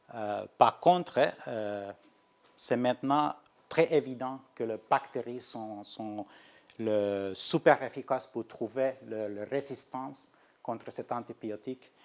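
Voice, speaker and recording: A man speaks very slowly at a medium pitch with ordinary pitch variation. His loudness swings widely. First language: Finnish (speaking French). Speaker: research scientist. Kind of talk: lecture. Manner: halting, many hesitations and restarts.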